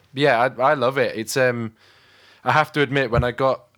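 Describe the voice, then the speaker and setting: On a very clean recording with a silent background, a man with a British accent speaks at a moderate pace with ordinary pitch variation. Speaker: podcast host; drummer and recording engineer. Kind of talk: casual interview chat.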